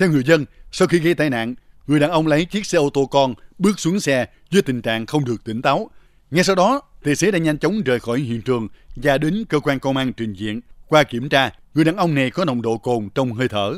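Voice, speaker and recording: Using an ordinary speaking voice, a man talks at a fairly quick pace with a fairly high pitch and lively intonation. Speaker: news reporter. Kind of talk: news reading.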